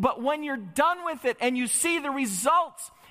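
Against noticeable background noise, a man with an American accent projects a raised voice at an extremely high pitch. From Michigan, US Midwest. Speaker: preacher. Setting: church. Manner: impassioned, rising emphatic cadence.

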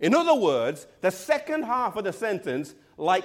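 With an English accent, a man speaks with very wide swings in pitch. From England. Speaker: pastor. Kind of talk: sermon.

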